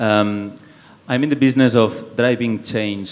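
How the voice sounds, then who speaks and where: A man with a Spanish accent at a moderate pace, fairly even intonation, noticeable background noise behind him. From Spain, Barcelona (Catalonia). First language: Spanish or Catalan. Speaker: environmental policy researcher. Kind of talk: panel discussion. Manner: halting.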